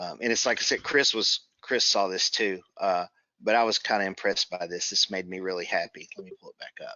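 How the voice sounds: Speaking at a fairly quick pace, a man with a low pitch uses a bright, sharp tone and fairly even intonation.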